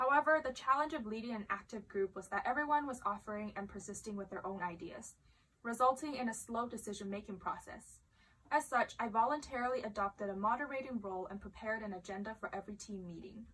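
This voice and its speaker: The delivery is very fast, with a bright, sharp tone. Pitch variation is ordinary. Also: woman, fairly high pitch for a woman, big swings in loudness. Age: young. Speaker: student vlogger. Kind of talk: reading aloud; casual chat.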